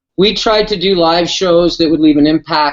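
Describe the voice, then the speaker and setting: Here is a man with an ordinary speaking voice. He talks at a fairly slow pace with ordinary pitch variation. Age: 50s. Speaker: rock band singer. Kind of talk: casual interview chat.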